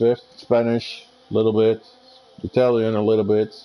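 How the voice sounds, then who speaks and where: Over noticeable background noise, a man with a Dutch accent speaks at a moderate pace. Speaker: sim racing co-commentator. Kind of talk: live commentary. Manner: halting.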